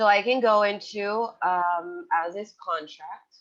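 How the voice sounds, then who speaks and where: Here a woman speaks. Her pitch is medium. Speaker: software trainer. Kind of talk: webinar tutorial. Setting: online webinar.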